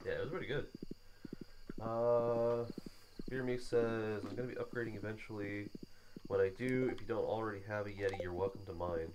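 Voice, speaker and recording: A man with a medium pitch talks quietly at a fairly quick pace, with fairly even intonation and long, frequent pauses. Audible room echo surrounds his voice. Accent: American. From US Midwest, Illinois. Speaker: streamer. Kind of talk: casual chat. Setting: live stream, shared mic at a table.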